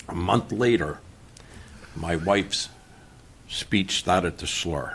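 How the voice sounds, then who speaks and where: The speaker goes at a very slow pace with ordinary pitch variation, with noticeable background noise behind them. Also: man, very deep, low pitch for a man. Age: 70s. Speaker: property owner applicant. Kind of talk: public hearing testimony. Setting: town board meeting. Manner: halting.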